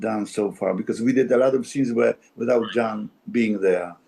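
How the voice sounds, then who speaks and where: Someone with a Polish accent speaks at a moderate pace in a dark, mellow tone. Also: man. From Poland. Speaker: actor. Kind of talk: interview conversation. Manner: halting, many repetitions.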